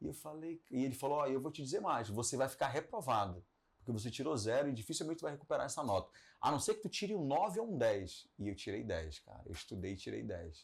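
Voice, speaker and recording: A man speaks at a very fast pace with medium pitch, very wide pitch swings and vocal fry. The recording is very clean, with a silent background. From Belém, Pará, northern Brazil. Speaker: radio broadcaster and entrepreneur. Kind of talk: podcast interview. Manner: conversational, with fillers and self-corrections.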